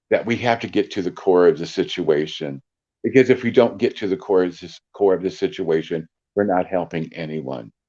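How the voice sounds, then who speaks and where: A man's very deep, low voice with a dark, mellow tone, lively intonation and a moderate pace over a quiet background. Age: 60s. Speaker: psychic medium. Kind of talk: casual interview chat. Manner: animated.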